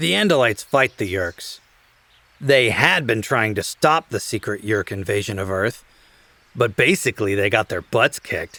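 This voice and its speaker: A man with a normal speaking voice, medium pitch, ordinary pitch variation and a moderate pace, in a dry, close sound with no echo. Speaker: audiobook narrator. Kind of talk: audiobook narration.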